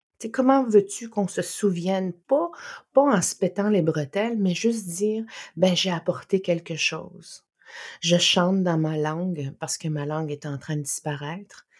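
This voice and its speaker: This woman has an ordinary speaking voice pitched fairly low. She talks fairly slowly with lively intonation. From Innu community, Quebec. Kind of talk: interview.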